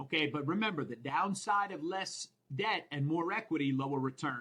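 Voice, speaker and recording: Energetic tone and lively intonation from a man with an American accent. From Minnesota. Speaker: accounting exam instructor. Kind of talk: lecture. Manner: energetic, conversational.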